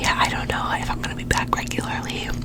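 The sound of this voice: A woman is whispering. She goes at a fast pace.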